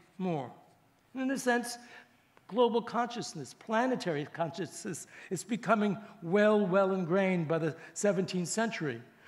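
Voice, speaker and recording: A high-pitched man with lively intonation at a moderate pace, in audible room echo. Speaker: professor. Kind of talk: lecture. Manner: halting.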